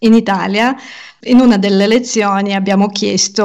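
Ordinary pitch variation in a woman's medium-pitched voice, captured on a very clean recording against a silent background. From Ukraine. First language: Russian and Ukrainian (speaking Italian). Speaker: podcaster and language teacher. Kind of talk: interview conversation.

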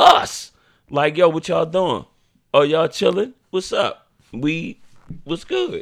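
With a high pitch and very wide pitch swings, a man speaks in a very clean recording with a silent background. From Baltimore. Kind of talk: casual chat.

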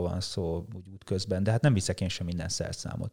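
A man's voice with a dark, mellow tone comes through on a very clean recording with a silent background. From rural Hungary. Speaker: long-distance cyclist and musician. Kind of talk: casual interview chat. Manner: halting, many repetitions.

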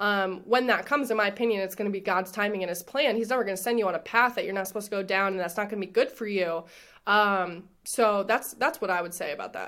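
A very fast pace, bright and sharp in tone, with ordinary pitch variation on a very clean recording over a silent background. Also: woman, medium pitch for a woman. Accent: American. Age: 20s. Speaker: former college athlete and business manager. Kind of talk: casual interview.

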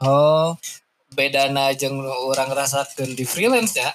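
This man talks at a moderate pace in a Sundanese accent, with ordinary pitch variation. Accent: Sundanese-accented Indonesian. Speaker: podcast host. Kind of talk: casual chat. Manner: casual, laughing often.

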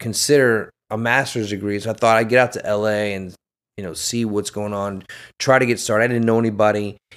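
On a very clean recording with a silent background, a man in a normal speaking voice talks at a fairly quick pace with fairly even intonation. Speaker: actor and military veteran. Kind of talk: casual chat.

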